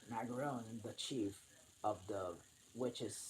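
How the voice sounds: The pitch of a natural reading voice shifts by a normal amount.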